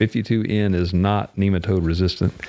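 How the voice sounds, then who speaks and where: A man's very deep, low voice, dark and mellow, with fairly even intonation. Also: very clean recording, silent background. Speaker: plant breeder. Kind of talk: casual chat.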